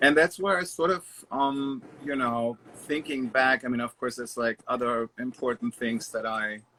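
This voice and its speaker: The speaker has a German accent, a moderate pace and ordinary pitch variation. The sound is dry and close with no echo, though background noise is noticeable. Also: man, medium pitch for a man. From Germany (Stuttgart, Baden-Baden). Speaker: interior designer. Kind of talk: casual interview chat.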